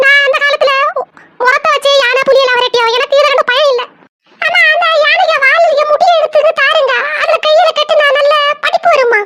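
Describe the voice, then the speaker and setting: A woman uses a cartoonish character voice with an extremely high pitch and lively intonation. Her loudness stays very even at a moderate pace. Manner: complaining, bossy.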